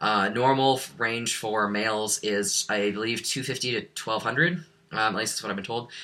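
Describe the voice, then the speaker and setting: A man's medium-pitched voice with an American accent, bright and sharp in tone, at a moderate pace with ordinary pitch variation. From US Midwest. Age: 20s. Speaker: vlogger. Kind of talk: casual vlog monologue. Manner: halting, many fillers.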